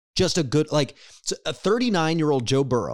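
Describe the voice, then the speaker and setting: An ordinary speaking voice with an American accent moves at a fairly quick pace with lively intonation, recorded dry and close with no echo on a very clean recording with a silent background. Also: man. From Cincinnati, Ohio. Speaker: podcast host. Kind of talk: casual chat. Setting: studio.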